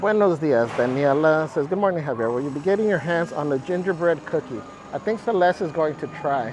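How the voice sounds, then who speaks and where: A man's fairly high voice, with normal pitch movement, comes quickly through clearly audible background noise. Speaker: live streamer. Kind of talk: live stream chat while walking a theme park. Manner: upbeat, animated.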